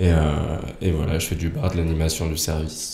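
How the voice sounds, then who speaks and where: Audible room echo surrounds a man's somewhat breathy voice. His tone is dark and mellow, his pace moderate. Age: 20s. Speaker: former competitive gymnast. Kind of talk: casual chat.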